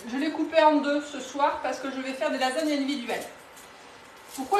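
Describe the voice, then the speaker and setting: Amid audible room echo and noticeable background noise, a woman with a high pitch for a woman talks at a moderate pace with ordinary pitch variation. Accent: Toulouse. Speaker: cookware sales consultant. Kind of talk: live cooking demonstration. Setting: home kitchen, live stream. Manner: casual, hesitant with fillers.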